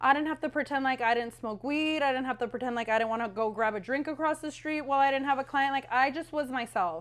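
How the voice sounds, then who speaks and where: A woman speaks at a high pitch and a very fast pace with hardly any pauses. Her tone is animated. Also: ordinary pitch variation. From Southern California, Whittier area. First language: Spanish. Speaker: podcast co-host, hairstylist. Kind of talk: casual chat.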